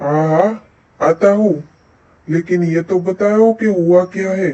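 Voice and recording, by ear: A cartoonish character voice moves at a fairly slow pace with fairly even intonation. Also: man, high pitch for a man.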